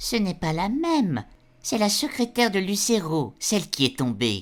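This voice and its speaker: Using a put-on character voice, a woman speaks at a moderate pace in a medium pitch with very wide pitch swings. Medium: audio drama. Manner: sardonic, biting.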